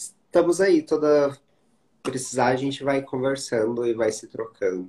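Here a man with an ordinary speaking voice talks at a fairly slow pace with ordinary pitch variation. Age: 30s. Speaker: HIV content creator and live host. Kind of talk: casual interview livestream.

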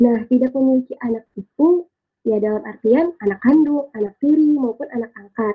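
A woman with a high pitch talks at a moderate pace, showing ordinary pitch variation. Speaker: university student. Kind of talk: casual discussion.

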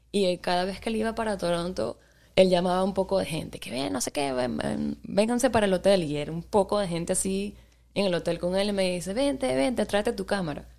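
A woman's normal speaking voice, medium in pitch, with lively intonation and a fairly quick pace. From Venezuela, Maracaibo and Caracas. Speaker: DJ and photographer. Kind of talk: casual interview.

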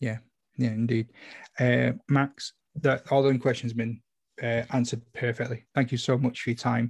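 A man at medium pitch, somewhat breathy, monotone and flat, at a moderate pace with long, frequent pauses. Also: very clean recording, silent background. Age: 40s. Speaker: podcast host. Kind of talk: casual interview chat.

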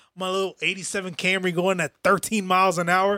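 A man speaks in a raised, projected voice with a bright, sharp tone. He moves at a fairly quick pace. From New York, Brooklyn. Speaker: podcast co-host. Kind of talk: casual chat. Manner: animated.

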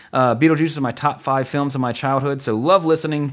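A man with an American accent, fairly high-pitched and animated in tone, with ordinary pitch variation, on a very clean recording with a silent background. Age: 30s. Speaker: podcast host. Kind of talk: casual chat, podcast discussion. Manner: animated, jokey.

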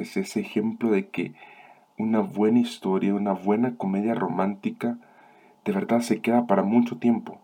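A man at medium pitch and a moderate pace. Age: 20s. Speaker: film review podcast host. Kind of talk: solo film review monologue. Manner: halting.

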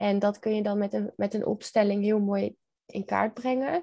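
A woman is speaking here. Her tone is dark and mellow. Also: quiet background. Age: 20s. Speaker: NLP coach. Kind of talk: casual interview chat.

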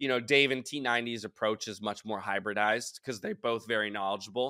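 Recorded very cleanly against a silent background with a dry, close sound and no echo, a man talks at a fairly quick pace in a bright, sharp tone with fairly even intonation. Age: 30s. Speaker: esports host and caster. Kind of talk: interview.

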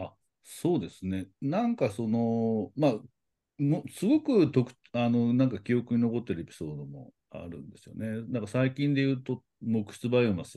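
In a dark, mellow tone at medium pitch, a man speaks at a moderate pace with lively intonation and big swings in loudness over a quiet background. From Nara, Japan. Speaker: podcast co-host. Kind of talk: casual chat. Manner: halting, many fillers.

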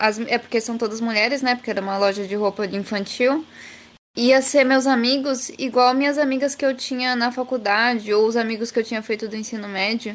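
With a fairly high pitch and fairly even intonation, a woman talks at a fairly quick pace in an ordinary speaking voice. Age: 20s. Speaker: advertising student and intern. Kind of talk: casual chat.

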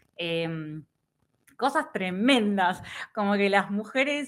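A woman with a bright, sharp tone speaks at a fairly high pitch with lively intonation. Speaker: writer and political scientist. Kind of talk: casual chat.

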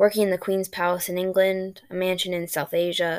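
The voice is an unforced reading voice. It reads the words out.

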